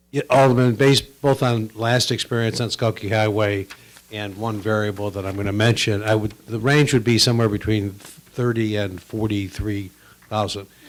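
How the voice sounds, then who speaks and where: Noticeable background noise sits behind a man with a fairly low pitch. He keeps a moderate pace and fairly even intonation. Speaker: consultant. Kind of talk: committee meeting remarks. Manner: soft-spoken.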